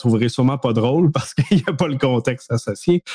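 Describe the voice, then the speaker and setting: A man with a Quebec accent has a dark, mellow tone in a dry, close sound with no echo. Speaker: cybersecurity podcast co-host. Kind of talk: casual chat.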